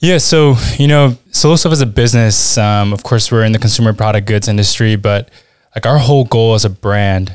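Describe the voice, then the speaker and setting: This man has an unremarkable speaking voice, fairly low in pitch, with an American accent, ordinary pitch variation, and a fairly quick pace. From Washington DC area, born in Peru. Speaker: e-commerce brand manager. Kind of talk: casual interview. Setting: in person at a conference.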